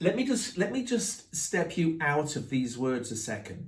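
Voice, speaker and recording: A man with an English accent, high-pitched, with very wide pitch swings, at a fairly slow pace. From England. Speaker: branding coach and author. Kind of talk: group workshop discussion.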